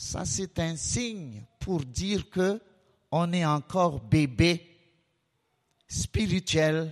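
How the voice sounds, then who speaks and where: A man's high-pitched voice with lively intonation, a very slow pace, and long, frequent pauses. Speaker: preacher. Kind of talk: sermon. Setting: church.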